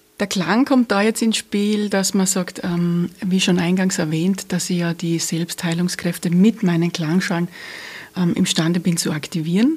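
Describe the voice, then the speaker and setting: At a fairly slow pace, a woman talks in a medium pitch with ordinary pitch variation against noticeable background noise. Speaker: energy healer and police officer. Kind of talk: interview. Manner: smiling, warm.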